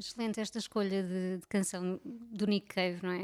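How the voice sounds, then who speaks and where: In a European Portuguese accent, a woman speaks at medium pitch and a moderate pace with monotone, flat intonation. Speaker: podcast co-host. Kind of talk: casual chat.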